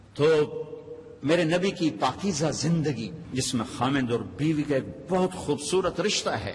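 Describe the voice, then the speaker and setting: A man's fairly high voice with lively intonation and very even loudness, over noticeable background noise. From Pakistan. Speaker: Islamic preacher. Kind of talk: religious sermon.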